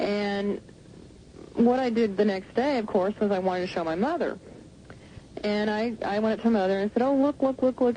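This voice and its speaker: A woman speaks with an American accent at a fairly high pitch, with ordinary pitch variation. There is noticeable background noise. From Southern United States. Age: 30s. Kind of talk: radio interview answer. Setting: phone line.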